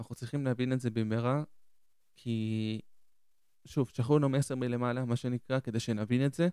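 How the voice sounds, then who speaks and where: With long, frequent pauses, a man speaks at a moderate pace and medium pitch, his intonation fairly even and his tone dark and mellow. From southern Israel (Ashdod), born in Argentina. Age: 20s. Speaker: podcast host. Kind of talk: solo reflective monologue.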